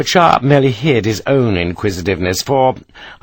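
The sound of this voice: An unforced reading voice carries the words. The intonation is lively.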